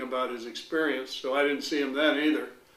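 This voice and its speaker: A fairly high-pitched man at a fairly quick pace with monotone, flat intonation, amid audible room echo and noticeable background noise. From Hong Kong. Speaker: retired school principal. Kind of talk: interview.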